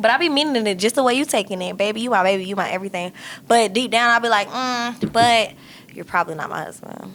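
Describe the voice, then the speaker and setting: At a very fast pace, a woman with a fairly high pitch talks in an animated tone with ordinary pitch variation. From US South. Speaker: podcast co-host. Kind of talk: casual chat.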